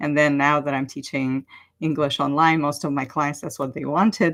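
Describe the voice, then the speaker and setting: With a Russian accent, a woman speaks in a very deep, low voice with a bright, sharp tone and fairly even intonation, recorded very cleanly against a silent background. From Ukraine. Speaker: online language teacher and coach. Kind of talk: casual livestream talk.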